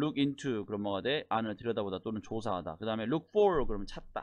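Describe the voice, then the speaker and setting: Here a man speaks in a plain, everyday voice. His pitch is fairly low and his pace fairly quick. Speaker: English test instructor. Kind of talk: lecture. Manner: casual explanatory.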